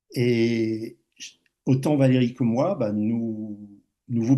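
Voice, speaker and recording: Dark, mellow male voice, its pitch varying in an ordinary way. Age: 60s. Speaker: speaker sharing a personal life experience. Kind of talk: public talk with personal testimony. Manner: halting, with many hesitations and repetitions.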